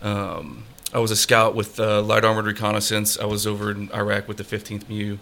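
Against noticeable background noise, a man with an American accent talks fairly quickly at a fairly low pitch in a monotone, flat intonation. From Colorado. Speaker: country musician and military veteran. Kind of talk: casual interview chat. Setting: studio, streamed on Facebook Live.

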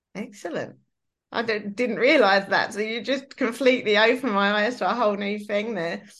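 Here a woman has a plain, everyday voice at a fairly high pitch. She talks at a fairly quick pace with fairly even intonation. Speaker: podcast host and workshop facilitator. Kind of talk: casual interview chat.

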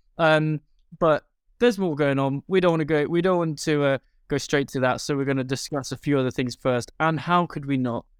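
Recorded very cleanly against a silent background, a man with a fairly high pitch sounds dry and close with no echo. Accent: British. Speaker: podcast host. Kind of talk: casual chat. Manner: animated.

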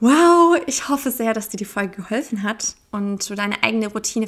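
At a moderate pace, this is an ordinary speaking voice. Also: woman. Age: 20s. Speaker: podcast host. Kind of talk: solo podcast monologue. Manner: casual.

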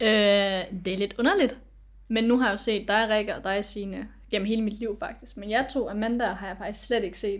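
Speaking at a moderate pace, a woman has a medium pitch, fairly even intonation and vocal fry. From Aarhus, Denmark. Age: 20s. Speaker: adoptee. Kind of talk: casual chat.

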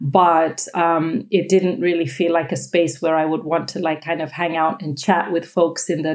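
A woman speaks with an American accent in an ordinary speaking voice. Her pitch is fairly low, and her pace is moderate. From United States. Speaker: yoga teacher. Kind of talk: casual chat.

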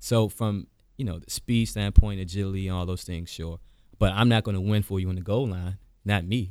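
An unremarkable speaking voice from a man with an American accent, fairly low pitch, fairly even intonation, a fairly quick pace and big swings in loudness, in a very clean recording with a silent background. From US, Washington DC (Southeast). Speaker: attorney and former college football player. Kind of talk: casual interview.

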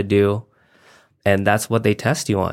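The pace is fairly slow. The speaker is a man. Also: very clean recording, silent background. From Nevada, US. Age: 20s. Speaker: SEO business owner. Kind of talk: casual interview.

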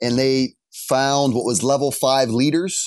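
Against a quiet background, a man talks in an ordinary speaking voice at medium pitch with fairly even intonation. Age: 30s. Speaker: gym owner. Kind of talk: casual interview.

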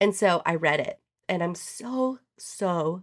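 A woman with a fairly low pitch, an animated, bright, sharp tone and ordinary pitch variation, on a very clean recording with a silent background. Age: 40s. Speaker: podcast host and business consultant. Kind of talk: casual solo podcast talk. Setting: home office, audio-only podcast.

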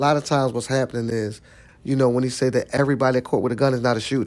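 The speaker has a Philadelphia accent. Intonation stays fairly even. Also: man. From South Philadelphia. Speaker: nonprofit executive director. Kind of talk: interview.

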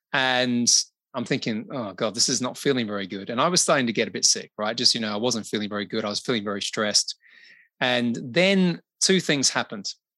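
A bright, sharp tone at a fairly quick pace, with lively intonation over a quiet background. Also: man, medium pitch for a man. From Australia (Adelaide). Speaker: business consultant and podcaster. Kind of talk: interview conversation.

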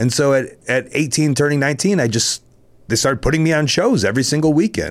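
A man with an American accent and a normal speaking voice, fairly high in pitch, at a fairly quick pace with ordinary pitch variation and very even loudness. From Chicago. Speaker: professional wrestler. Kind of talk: casual chat.

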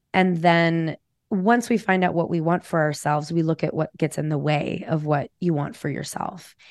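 A woman's unremarkable speaking voice, fairly low in pitch with ordinary pitch variation, at a moderate pace, in a quiet background with a dry, close sound and no echo. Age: 40s. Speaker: psychotherapist. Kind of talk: interview.

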